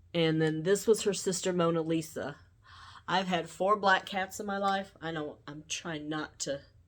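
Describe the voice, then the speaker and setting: On a very clean recording with a silent background, a woman with a Southern US accent speaks at a fairly slow pace, fairly low in pitch with ordinary pitch variation. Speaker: YouTuber. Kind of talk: casual vlog monologue. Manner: slow, sometimes mumbled; halting, many fillers.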